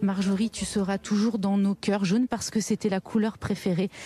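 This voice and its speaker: A woman with a medium pitch talks at a moderate pace in a flat, monotone delivery. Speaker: field reporter. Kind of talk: live news report. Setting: outdoors at a memorial march. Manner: soft-spoken.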